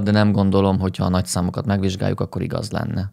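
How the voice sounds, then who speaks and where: A man speaks over a quiet background. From Hungary. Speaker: video essayist and political commentator. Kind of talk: satirical commentary on a political interview. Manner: sarcastic, ironic. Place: home room. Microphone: studio mic.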